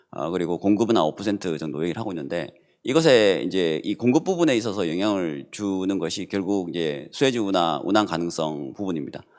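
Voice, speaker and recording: With a very deep, low pitch, a man talks at a fairly quick pace with lively intonation and hardly any pauses on a very clean recording with a silent background. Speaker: professor. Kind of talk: panel discussion remarks.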